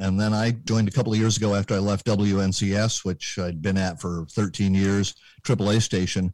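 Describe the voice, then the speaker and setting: A man with an American accent has a normal speaking voice at a fairly low pitch. He speaks at a moderate pace. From US West Coast, Berkeley, California. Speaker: radio DJ and program director. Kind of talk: casual chat. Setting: home studio.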